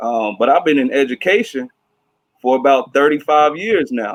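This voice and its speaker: This man has a plain, everyday voice at a medium pitch with ordinary pitch variation. He speaks at a moderate pace, and the sound is dry and close with no echo. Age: 30s. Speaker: teacher moderating career panel. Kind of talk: panel moderation.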